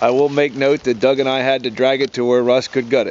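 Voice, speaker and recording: A man's put-on robotic character voice, medium in pitch, at a very fast pace. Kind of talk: casual commentary. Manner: mechanical.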